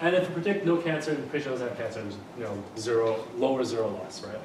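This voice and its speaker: Speaking at a very fast pace with ordinary pitch variation, a man is heard through audible room echo and noticeable background noise. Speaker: university lecturer. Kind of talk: lecture. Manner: halting, many fillers and restarts.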